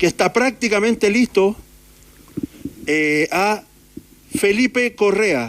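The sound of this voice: Slowly, a man speaks in a high voice with ordinary pitch variation. His tone is fairly bright.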